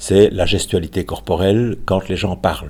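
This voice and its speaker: Vocal fry marks a man's very deep, low voice. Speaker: retired psychology professor. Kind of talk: interview.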